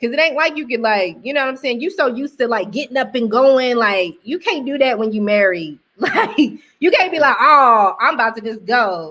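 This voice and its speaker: Loud and animated, a woman speaks at a moderate pace in a high pitch with a bright, sharp tone and very wide pitch swings, captured on a very clean recording with a silent background. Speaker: married woman sharing testimony. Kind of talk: casual testimony chat.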